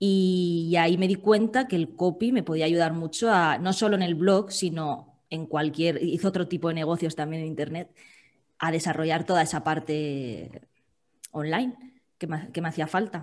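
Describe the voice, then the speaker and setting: This is a plain, everyday voice with ordinary pitch variation. It moves at a moderate pace. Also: woman, fairly low pitch for a woman. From Valencia, Spain; Spain. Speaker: food-sector copywriter; podcast guest. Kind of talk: interview conversation. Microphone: video call.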